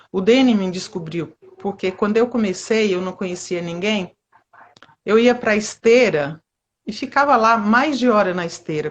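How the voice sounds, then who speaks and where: A woman speaks in a plain, everyday voice at a fairly slow pace. Her medium pitch moves with ordinary variation. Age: 50s. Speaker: amateur street runner. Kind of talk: interview.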